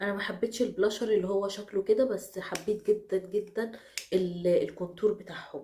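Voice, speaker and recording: Her voice is dark and mellow in tone, medium in pitch. The woman keeps a moderate pace and fairly even intonation. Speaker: beauty vlogger. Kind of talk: product review.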